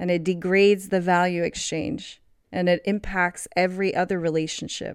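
A woman speaks in a normal speaking voice at medium pitch, with fairly even intonation and very even loudness. The recording is very clean, with a silent background. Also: moderate pace. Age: 30s. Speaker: podcast host. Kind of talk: solo monologue. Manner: laughs often.

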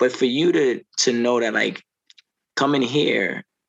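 This man's voice carries vocal fry. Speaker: podcast host. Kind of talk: casual interview.

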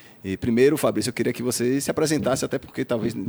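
This is a man's voice. Vocal fry runs through it. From Salvador, Bahia, Brazil. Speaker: podcast host. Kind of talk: casual interview.

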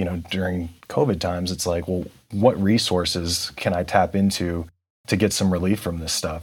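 In an American accent, a man speaks at a very deep, low pitch and a moderate pace. His intonation stays fairly even. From California. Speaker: podcast host. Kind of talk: interview.

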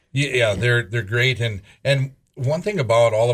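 On a very clean recording with a silent background, a man speaks somewhat breathily at medium pitch and a moderate pace. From North Dakota (Scranton, southwest). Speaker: auctioneer and radio show co-host. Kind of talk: casual radio chat.

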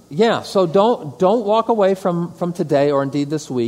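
Over noticeable background noise, a man with an American accent talks at a moderate pace, his pitch swinging very widely. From Metro Detroit, Michigan. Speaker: pastor. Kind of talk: lecture. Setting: stage with audience.

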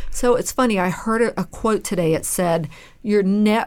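The woman has an unremarkable speaking voice at medium pitch with ordinary pitch variation, in a very clean recording with a silent background. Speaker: dentist and podcast co-host. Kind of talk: casual podcast conversation.

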